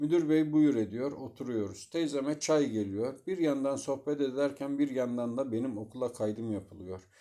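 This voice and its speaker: With a dark, mellow tone and medium pitch, a man talks at a moderate pace with hardly any pauses and ordinary pitch variation, on a very clean recording with a silent background. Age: 50s. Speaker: storyteller. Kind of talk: personal memoir narration.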